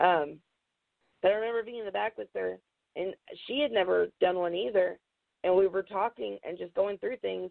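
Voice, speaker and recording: With an American accent, a woman at medium pitch talks at a moderate pace with lively intonation, leaving long, frequent pauses. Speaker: professional wrestler. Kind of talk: interview.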